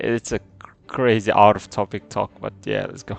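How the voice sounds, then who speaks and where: In a dry, close sound with no echo, a man with a non-native accent speaks at a fairly slow pace. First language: not English. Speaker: gameplay streamer. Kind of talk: casual gameplay commentary.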